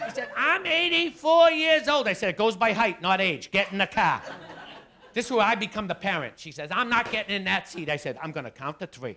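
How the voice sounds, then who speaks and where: In a Boston accent, a man speaks in a raised, projected voice at a fairly quick pace. His pitch is high and swings very widely. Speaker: stand-up comedian. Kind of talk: stand-up. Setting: stage with audience. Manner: animated.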